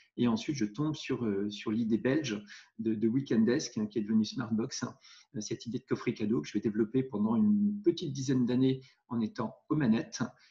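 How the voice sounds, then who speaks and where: Somewhat breathy and dark, mellow in tone, a man speaks fairly quickly at a medium pitch with ordinary pitch variation. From Normandy, France. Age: 40s. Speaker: entrepreneur and investor. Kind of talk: interview. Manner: hesitant with fillers.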